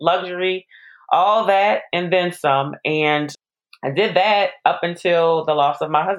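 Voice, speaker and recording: A woman speaks at a fairly slow pace in a fairly low pitch. She has an ordinary speaking voice with ordinary pitch variation. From New Orleans, US South. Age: 40s. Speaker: pharmacist and widowhood influencer. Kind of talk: interview.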